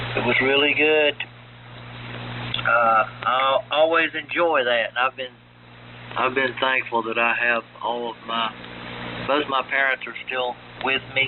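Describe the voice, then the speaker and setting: A man talks at a fairly slow pace with fairly even intonation, leaving long, frequent pauses over noticeable background noise. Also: medium pitch for a man. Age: 60s. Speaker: ham radio operator. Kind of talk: radio net check-in. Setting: amateur radio AM transmission.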